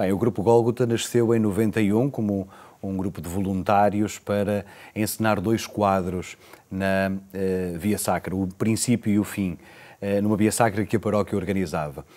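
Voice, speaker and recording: At a fairly slow pace, a man with a fairly low pitch and a dark, mellow tone speaks with fairly even intonation. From Portugal. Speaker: priest. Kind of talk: interview. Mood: calm, earnest. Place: studio. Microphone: lapel.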